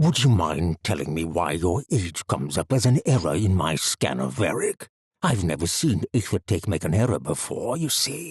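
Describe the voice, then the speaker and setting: A man's put-on character voice, very deep and low in pitch, with hardly any pauses. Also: moderate pace. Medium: read story. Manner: falsely courteous, amused.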